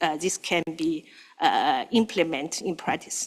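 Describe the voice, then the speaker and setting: With a non-native accent, a woman is talking. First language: not English. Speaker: standards board member. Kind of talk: committee meeting discussion. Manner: halting, many fillers.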